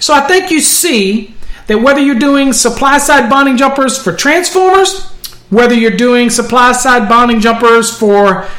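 A man with an extremely high pitch projects his raised voice with lively intonation at a fairly slow pace. Noticeable noise sits in the background. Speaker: podcast host, electrical code instructor. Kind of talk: tutorial. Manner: casual, with frequent fillers.

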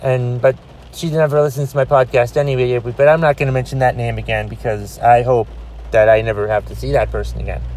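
Speech at a very fast pace plays over music in the background. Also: man. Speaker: podcast host. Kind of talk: solo rant podcast. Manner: loud, ranting.

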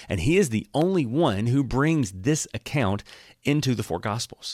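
An animated tone in an Alabama accent, with lively intonation, a moderate pace and a dry, close sound with no echo. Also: man. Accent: Southern US (Alabama). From US South. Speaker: pastor. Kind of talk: Bible teaching podcast. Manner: casual, animated.

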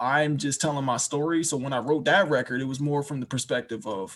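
A man with an American accent talks at a fairly high pitch and fairly quick pace. It is an ordinary speaking voice. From Washington DC. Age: 20s. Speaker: rapper and music producer. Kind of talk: casual interview.

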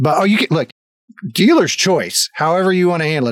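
A man at a very fast pace with lively intonation, on a very clean recording with a silent background and a dry, close sound with no echo. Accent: American. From US South. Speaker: podcast host. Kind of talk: casual interview chat. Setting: live stream. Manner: halting, many fillers.

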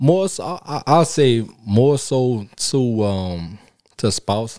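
A man speaks with a New Orleans accent. His tone is dark and mellow. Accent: New Orleans Southern US. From New Orleans, Louisiana. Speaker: special education teacher. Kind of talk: casual chat. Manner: halting, many repetitions.

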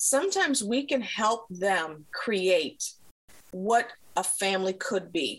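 Noticeable background noise runs behind a woman's medium-pitched voice. She speaks at a very slow pace with ordinary pitch variation. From Africa, raised in the US by African parents. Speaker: mental health professional. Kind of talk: interview.

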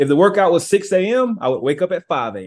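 A man with an American accent at a fairly quick pace, with very wide pitch swings. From US South, Georgia. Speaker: author and former college athlete. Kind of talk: interview.

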